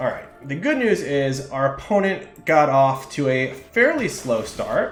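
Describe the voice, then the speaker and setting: With audible room echo, a man speaks at a moderate pace in a somewhat breathy, fairly high voice with ordinary pitch variation. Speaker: streamer playing card games. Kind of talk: live gameplay commentary. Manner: mumbles at times; casual, thinking aloud.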